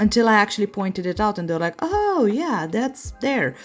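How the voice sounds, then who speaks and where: A woman's fairly high voice with very wide pitch swings and a non-native accent, music in the background. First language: not English. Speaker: nail artist. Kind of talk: tutorial. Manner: halting, many fillers.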